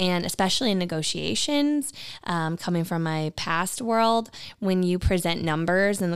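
An ordinary speaking voice from a woman at medium pitch, with ordinary pitch variation and a moderate pace, on a very clean recording with a silent background. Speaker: real estate agent and podcast co-host. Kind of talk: casual chat.

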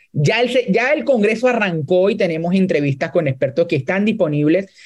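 Speaking at a fairly quick pace, a man with a high pitch uses lively intonation. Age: 20s. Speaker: NGO director. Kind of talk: interview.

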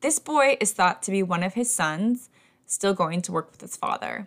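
A woman with a normal speaking voice, medium pitch, lively intonation and a moderate pace, on a very clean recording with a silent background. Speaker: podcast host and teacher. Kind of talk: scripted haunted-history narration, storytelling tone. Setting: home recording, kitten audible. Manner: measured, clear, engaged storyteller.

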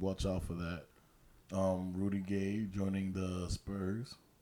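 A man's very deep, low, dark and mellow voice with an American accent, monotone and flat, at a very slow pace. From New York. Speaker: sports podcast co-host. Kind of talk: casual chat.

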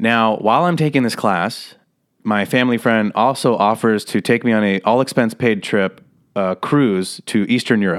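At a moderate pace, a man with an American accent and an ordinary speaking voice talks at a medium pitch with ordinary pitch variation and very even loudness, in a very clean recording with a silent background. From Las Vegas, Nevada. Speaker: comedian and actor. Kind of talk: casual interview chat.

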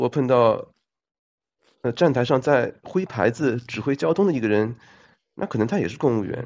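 The speaker is a man with a medium-pitched voice. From China. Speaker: accountant, former civil servant. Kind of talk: casual chat.

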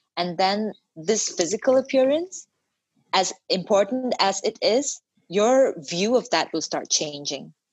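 A woman's fairly slow speech with very wide pitch swings. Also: medium pitch for a woman. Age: 30s. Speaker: fitness coach. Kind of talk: casual chat. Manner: animated.

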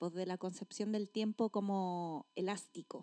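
A woman with a Chilean accent speaks at a fairly slow pace with ordinary pitch variation. Her tone is dark and mellow, and the sound is dry and close with no echo. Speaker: podcast co-host, teacher. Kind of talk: casual chat.

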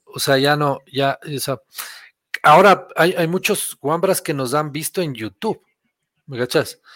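A man talks at a fairly slow pace with long, frequent pauses, his pitch fairly high and its variation ordinary. The recording is very clean, with a silent background and a dry, close sound with no echo. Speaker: podcast guest. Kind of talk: casual chat. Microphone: borrowed computer, says sounds better.

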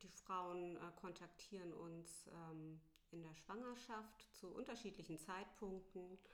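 There is audible room echo as a woman with a fairly low pitch speaks at a very slow pace, her pitch varying in an ordinary way. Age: 40s. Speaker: doula. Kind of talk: interview. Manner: hesitant, many filler sounds.

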